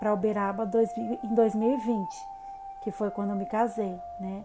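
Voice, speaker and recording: A woman's fairly high voice, fairly slow and fairly even in intonation, with music in the background. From Brazil, São Paulo state interior (Salto). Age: 30s. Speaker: holistic psychotherapist, channel host. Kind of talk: personal life story vlog. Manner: casual, many fillers (né).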